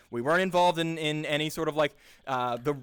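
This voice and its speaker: At a moderate pace, a man speaks in a fairly high, animated voice with lively intonation. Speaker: improv performer and workshop host. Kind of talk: casual talk.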